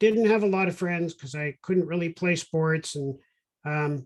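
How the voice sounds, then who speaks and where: With a Canadian accent, a normal speaking voice goes along at a moderate pace. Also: man. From Canada, Toronto. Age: 60s. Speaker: tech company CEO. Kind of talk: casual interview.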